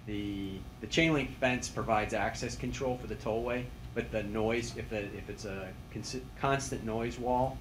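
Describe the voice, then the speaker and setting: Moderate-paced male speech, fairly low in pitch, with ordinary pitch variation in audible room echo. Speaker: highway project engineer. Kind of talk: public meeting answer. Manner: loud; halting.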